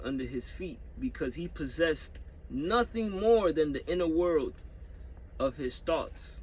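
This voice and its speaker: This man talks at a very slow pace. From New York (Dominican family, moved as a child). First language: Spanish. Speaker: YouTuber. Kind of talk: casual vlog with reading aloud. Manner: halting, many repetitions; casual slangy, swearing.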